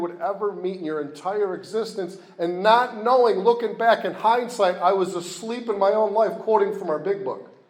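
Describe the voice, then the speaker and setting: Talking at a fairly quick pace, a man with an American accent keeps his intonation fairly even. His pitch is high, and there is noticeable background noise. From upstate New York (Rochester). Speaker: recovery meeting speaker. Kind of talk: testimony.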